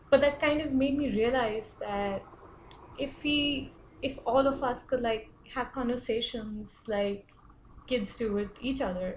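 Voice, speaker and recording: A high-pitched woman's voice with an Indian accent. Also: ordinary pitch variation, fairly slow pace. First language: Hindi. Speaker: international student. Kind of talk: personal reflection presentation. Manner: hesitant, many fillers.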